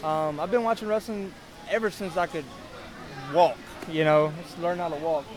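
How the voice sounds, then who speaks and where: A man with a Louisiana accent and high pitch speaks at a moderate pace with ordinary pitch variation and long, frequent pauses, while crowd noise fills the background. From South Louisiana. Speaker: independent pro wrestler. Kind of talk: casual interview.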